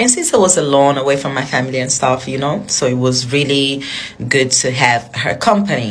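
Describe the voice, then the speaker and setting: With a non-native accent, a woman talks at a fairly quick pace in a very deep, low voice with ordinary pitch variation, amid noticeable background noise and audible room echo. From outside Ghana. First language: not English. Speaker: social media influencer. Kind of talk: storytelling. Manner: casual, filler-heavy.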